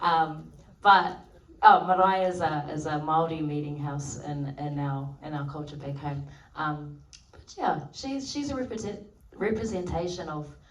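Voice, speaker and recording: A woman with a very deep, low voice speaks fairly slowly, with ordinary pitch variation, big swings in loudness and audible room echo. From New Zealand, Maori community. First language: Maori. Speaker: actor. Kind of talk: festival Q&A. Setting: stage with audience. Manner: hesitant, many fillers.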